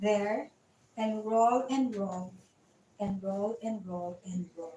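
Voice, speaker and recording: Speaking at a very slow pace, a woman has a medium pitch, fairly even intonation, a somewhat breathy quality and a dark, mellow tone. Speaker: fitness trainer and massage therapist. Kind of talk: online live exercise class.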